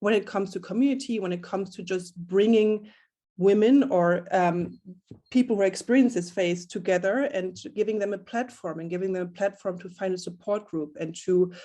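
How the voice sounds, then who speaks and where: With a German accent, a woman speaks at a moderate pace in a medium pitch, her tone dark and mellow and her pitch variation ordinary. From Germany. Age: 30s. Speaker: community founder. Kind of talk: panel discussion. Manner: hesitant, many fillers.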